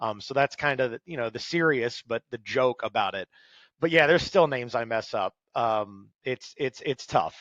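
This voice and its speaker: Against a quiet background, a man with a plain, everyday voice speaks at medium pitch and a moderate pace with ordinary pitch variation, in a dry, close sound with no echo. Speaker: motorsports race announcer; stand-up comedian turned announcer with a day job in sales. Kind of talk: podcast interview answer. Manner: casual, humorous, conversational.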